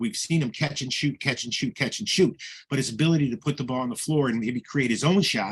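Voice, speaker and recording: A man talks at a very fast pace with lively intonation. His medium-pitched voice is somewhat breathy. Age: 70s. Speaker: basketball analyst. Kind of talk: highlight commentary.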